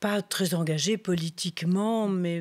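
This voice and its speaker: A woman's fairly low voice at a very slow pace, with fairly even intonation, in a very clean recording over a silent background. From Belgium, Liège and Brussels. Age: 70s. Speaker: doctor. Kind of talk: interview. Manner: halting.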